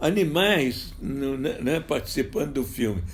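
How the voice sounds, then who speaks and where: Vocal fry runs through this man's speech at a very slow pace. His pitch swings very widely. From Minas Gerais, Brazil. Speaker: film director. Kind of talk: interview answer.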